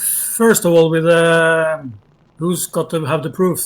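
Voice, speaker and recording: This man speaks in a high-pitched voice with a Norwegian accent. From Norway. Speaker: debate guest. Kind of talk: debate. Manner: halting.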